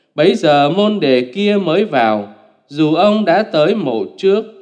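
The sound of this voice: A man talks at a fairly slow pace, his tone slightly mellow. His pitch swings widely.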